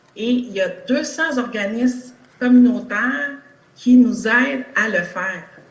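A woman talks at a very slow pace with a high pitch and ordinary pitch variation. Noticeable background noise and audible room echo fill the recording. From Quebec, Longueuil. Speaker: nurse and political candidate. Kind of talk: political debate. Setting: video call.

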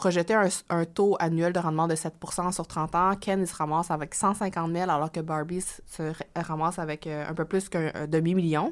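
A woman speaks at a fairly slow pace in a fairly low, monotone, flat voice on a very clean recording with a silent background. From Quebec. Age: young. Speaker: author and finance blogger. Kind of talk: interview.

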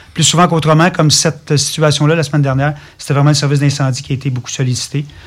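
Speaking at a very fast pace, a man with a Quebec accent has a fairly high pitch, a somewhat breathy sound and a monotone, flat intonation. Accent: Québécois French. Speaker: fire department director. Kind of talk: radio interview.

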